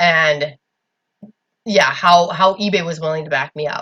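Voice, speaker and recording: A woman with a fairly low pitch and ordinary pitch variation. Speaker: YouTuber and eBay seller. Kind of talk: casual vlog. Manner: loud. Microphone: laptop recorder, had been loud and garbled.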